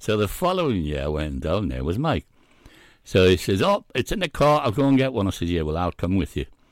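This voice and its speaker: Very deep and low, a man's voice swings widely in pitch at a fairly quick pace. The sound is dry and close with no echo, in a very clean recording with a silent background. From Scotland. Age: 80s+. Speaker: veteran fishing broadcaster. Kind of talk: interview answers, casual reminiscing. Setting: studio.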